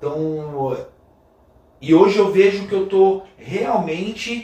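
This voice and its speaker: In an audibly echoing room, a man speaks at a high pitch with ordinary pitch variation. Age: 40s. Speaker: metal drummer. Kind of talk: casual interview chat. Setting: drum school studio.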